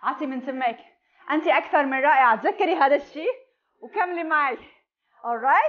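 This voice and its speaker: Against a quiet background, a woman speaks at a high pitch. Her pace is fairly slow, and her pitch variation is ordinary. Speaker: fitness instructor. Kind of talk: workout instruction with counting. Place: home room.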